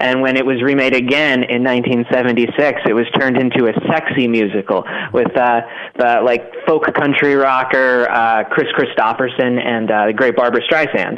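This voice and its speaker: Fairly even intonation at a moderate pace amid noticeable background noise. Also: man. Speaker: staff writer. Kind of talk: casual chat.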